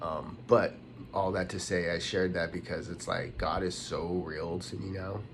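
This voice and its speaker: A West Coast American accent at a moderate pace, in a monotone, flat intonation. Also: man, very deep, low pitch for a man. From Los Angeles, USA. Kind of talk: casual talk to camera.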